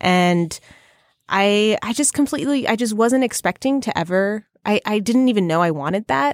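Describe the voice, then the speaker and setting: A woman with a plain, everyday voice speaks at medium pitch and a moderate pace, her intonation lively. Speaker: podcast host. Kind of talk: casual interview and chat.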